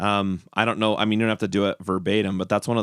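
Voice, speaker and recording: This man has an unremarkable speaking voice, fairly low in pitch, with fairly even intonation. The sound is dry and close with no echo, on a very clean recording with a silent background. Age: 40s. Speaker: podcast host and musician. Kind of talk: casual interview chat.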